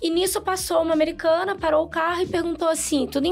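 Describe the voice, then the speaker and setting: With faint music behind her, a woman with a Rio de Janeiro accent speaks very fast at an extremely high pitch. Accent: Carioca Brazilian Portuguese. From Brazil, Rio de Janeiro. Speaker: podcast guest. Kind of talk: casual chat. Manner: loud. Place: studio. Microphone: studio mic.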